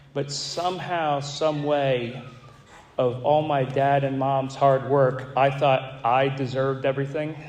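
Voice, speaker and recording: A man with an American accent speaks at a fairly high pitch in a monotone, flat delivery. The recording has audible room echo and noticeable background noise. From Florida, Gulf Coast. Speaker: recovery speaker. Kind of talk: testimony. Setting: stage with audience. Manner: halting, repeats words.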